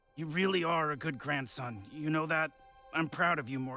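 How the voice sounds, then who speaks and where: A raspy, put-on character voice moves at a moderate pace over faint music in the background. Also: man, fairly high pitch for a man. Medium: cartoon. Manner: sarcastic, dismissive.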